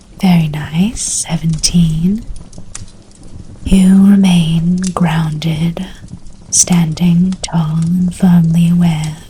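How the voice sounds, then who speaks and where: Soft-spoken, very slow speech with long, frequent pauses over noticeable background noise. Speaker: game master. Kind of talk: DnD ASMR storytelling. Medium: actual play.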